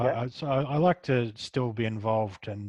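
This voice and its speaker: A soft-spoken man talks in an Australian accent, somewhat breathy, with ordinary pitch variation. Behind him the background is quiet. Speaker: comic book writer and artist. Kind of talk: interview answer.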